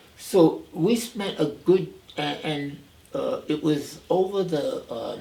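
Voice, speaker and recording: Noticeable background noise runs under a man talking in an American accent. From New York City, the Bronx. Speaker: retired minister and seminary professor. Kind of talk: oral history interview. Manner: halting, many fillers and restarts.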